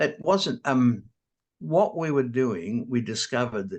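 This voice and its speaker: A man speaks fairly slowly in an Australian accent. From Australia, New South Wales. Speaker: square dance caller. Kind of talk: interview. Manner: slightly impaired articulation after stroke.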